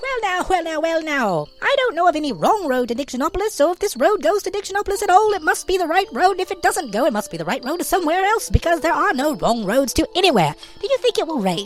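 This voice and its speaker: This put-on character voice is squeaky and extremely high-pitched. It races along at a very fast pace over clear background noise. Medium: read story. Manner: fast, repeats every phrase several times.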